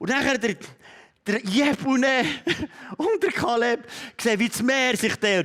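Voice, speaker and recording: A man's extremely high voice, animated in tone, at a moderate pace. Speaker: pastor. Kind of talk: sermon.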